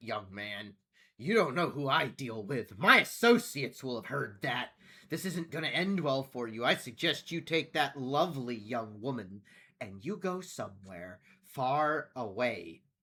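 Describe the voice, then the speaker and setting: Putting on a character voice, a man with a medium pitch speaks at a moderate pace with very wide pitch swings, on a very clean recording with a silent background. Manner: sneering, threatening.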